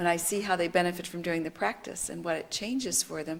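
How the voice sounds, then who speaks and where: A woman with a plain, everyday voice, fairly low in pitch, at a fairly quick pace with fairly even intonation. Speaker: Taoist teacher. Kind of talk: interview answer.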